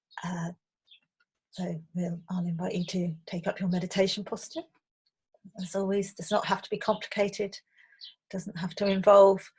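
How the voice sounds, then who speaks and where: At a moderate pace, a woman speaks in a medium pitch with a somewhat breathy, monotone, flat delivery, long and frequent pauses, and big swings in loudness. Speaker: meditation teacher. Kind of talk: casual intro to camera.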